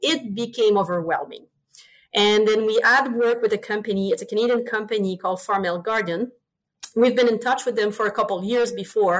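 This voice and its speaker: Talking at a fairly quick pace with a French accent, a woman keeps her fairly high pitch in fairly even intonation. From Quebec. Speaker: swine veterinarian. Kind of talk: interview. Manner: passionate.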